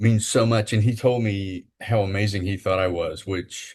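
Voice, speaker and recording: A man speaks in a fairly low, somewhat breathy voice. His intonation stays fairly even over a quiet background. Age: 60s. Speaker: podcast co-host, spinal injury survivor and wheelchair athlete. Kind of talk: casual interview chat. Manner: halting, many fillers.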